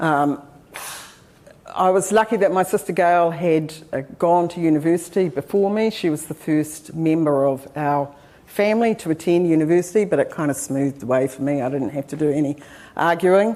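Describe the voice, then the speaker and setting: A woman with a New Zealand accent speaks at a moderate pace in a dark, mellow tone, fairly low in pitch with ordinary pitch variation. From New Zealand, Taranaki. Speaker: professor. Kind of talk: lecture. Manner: hesitant with frequent fillers.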